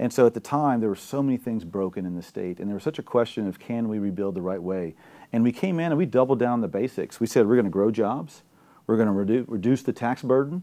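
In a South Louisiana accent, a man talks very fast with lively intonation and a dark, mellow tone at a medium pitch. The background is quiet. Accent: South Louisiana Southern US. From Louisiana, Gonzales, Ascension Parish. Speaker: gubernatorial candidate. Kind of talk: political interview. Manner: animated.

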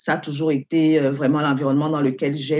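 A woman speaks at a very deep, low pitch in a dark, mellow tone. The sound is dry and close with no echo over a quiet background. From Cameroon. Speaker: doctoral student and lawyer. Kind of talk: interview.

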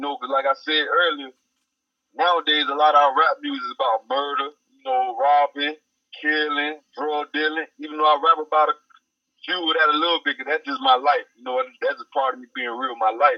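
A man with a Georgia accent, fairly high pitch, very wide pitch swings, big jumps in loudness and a fairly quick pace. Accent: Southern US, Georgia country. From Effingham County, Georgia. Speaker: rapper, recording artist. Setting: phone call interview.

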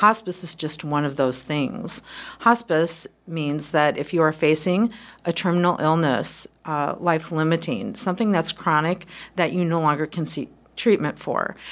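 Recorded very cleanly with a silent background, a woman talks at a moderate pace in a fairly low pitch with ordinary pitch variation. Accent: American. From Quad Cities, US Midwest. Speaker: hospice community liaison. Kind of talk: interview.

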